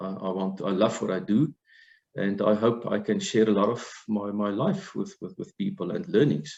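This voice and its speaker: A man talks at a moderate pace in a fairly low pitch. He has a normal speaking voice. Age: 60s. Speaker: life and financial coach. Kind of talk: webinar discussion.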